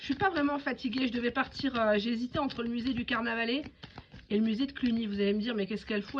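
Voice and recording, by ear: A woman talks at a fast pace with a fairly high pitch.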